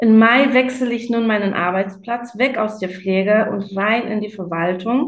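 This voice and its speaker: Someone with a non-native accent and a somewhat breathy voice speaks at a fairly slow pace, with audible room echo. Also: woman. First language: not German (speaking German). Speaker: nurse. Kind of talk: interview. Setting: remote call.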